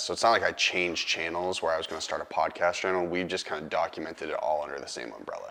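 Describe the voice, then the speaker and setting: A man with an American accent talks at a very fast pace. He hardly pauses, and there is noticeable background noise. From Boston. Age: 20s. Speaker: filmmaker and actor. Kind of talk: casual interview chat.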